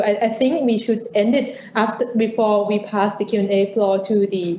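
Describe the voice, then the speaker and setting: A woman with a Thai accent speaks at a fairly high pitch. Noticeable background noise runs underneath. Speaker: lawyer moderating a webinar. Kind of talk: webinar interview.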